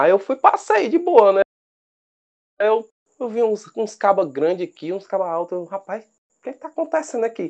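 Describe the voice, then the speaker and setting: High in pitch, a man speaks at a moderate pace. His pitch swings very widely and his loudness shifts a lot. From Brazil, Fortaleza, Ceará. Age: 20s. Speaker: rugby referee and biologist. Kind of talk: casual interview. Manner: hesitant, repeats words.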